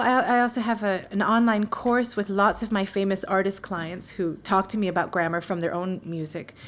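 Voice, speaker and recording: A fairly quick-paced woman with a New York accent. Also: hardly any pauses. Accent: New York American. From US, New York. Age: 40s. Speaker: English teacher. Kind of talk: interview. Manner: animated.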